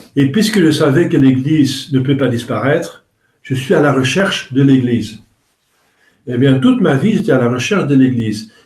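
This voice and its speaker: This man's voice is fairly high and somewhat breathy. He talks at a moderate pace. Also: ordinary pitch variation. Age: 60s. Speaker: priest. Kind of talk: religious talk. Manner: halting.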